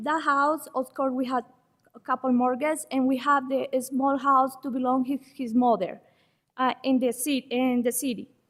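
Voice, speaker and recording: A woman with a non-native accent speaks at a moderate pace in a high-pitched voice. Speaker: public commenter, Airbnb host. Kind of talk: public comment at county meeting. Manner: halting.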